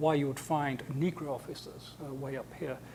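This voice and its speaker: A man speaks with an English accent in a dark, mellow tone. His pace is fairly slow. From England. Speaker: scientist and lecturer. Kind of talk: lecture. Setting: seminar with audience. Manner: hesitant with repetitions.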